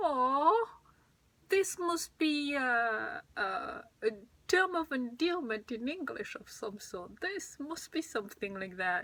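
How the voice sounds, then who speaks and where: In a French accent, a woman speaks very slowly in a high pitch with a bright, sharp tone and very wide pitch swings. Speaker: YouTuber sharing personal experience. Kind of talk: personal testimony vlog. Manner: halting, hesitant.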